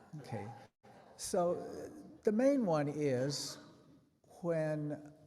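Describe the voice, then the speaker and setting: A man with a dark, mellow tone swings through very wide pitch ranges, with audible room echo around him. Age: 80s+. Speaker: preacher. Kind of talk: sermon. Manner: conversational, humorous asides.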